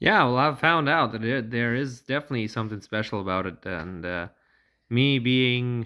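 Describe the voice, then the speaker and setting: The voice has a bright, sharp tone, ordinary pitch variation and a moderate pace, on a very clean recording with a silent background. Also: man, medium pitch for a man. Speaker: touring cyclist. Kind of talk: casual talk to camera.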